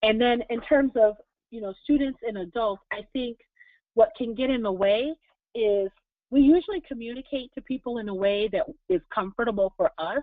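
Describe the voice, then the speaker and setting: In a plain, everyday voice, a woman speaks at a moderate pace and fairly high pitch, with ordinary pitch variation and big swings in loudness. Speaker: diversity consultant and presenter. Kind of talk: webinar presentation with Q&A. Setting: online webinar.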